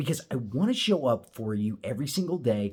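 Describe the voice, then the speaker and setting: A somewhat breathy man talks with very wide pitch swings. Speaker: motivational video host. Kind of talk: motivational talk to camera. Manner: casual, direct address.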